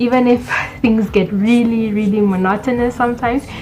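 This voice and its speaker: Fairly even intonation at a moderate pace, with music in the background. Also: woman. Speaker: medical student vlogger. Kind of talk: storytelling vlog.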